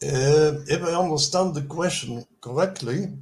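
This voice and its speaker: A man talks at a very slow pace, his voice fairly high in pitch. There is a somewhat breathy quality to it. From Netherlands. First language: Dutch. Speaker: inventor presenting experiments. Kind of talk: Q&A answers. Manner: halting.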